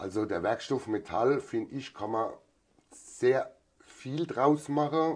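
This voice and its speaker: A man at medium pitch, at a very slow pace with lively intonation, against a quiet background. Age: 40s. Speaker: farrier and master metalworker. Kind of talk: interview.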